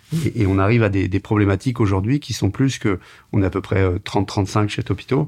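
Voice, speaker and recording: Against a quiet background, a man with a fairly low, somewhat breathy voice talks at a fairly quick pace with ordinary pitch variation. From France, Tours. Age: 40s. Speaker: media entrepreneur. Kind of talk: interview.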